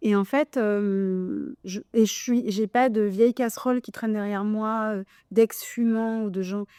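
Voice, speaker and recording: A woman with a dark, mellow tone and fairly high pitch speaks at a very slow pace with fairly even intonation, in a very clean recording with a silent background and a dry, close sound with no echo. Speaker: podcast host. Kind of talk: casual chat. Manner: loud, expressive.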